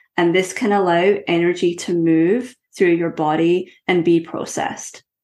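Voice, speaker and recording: This woman's voice sits fairly low in pitch, with ordinary variation. She talks at a moderate pace. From west coast of Scotland. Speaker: breathwork teacher, former college athlete. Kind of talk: interview.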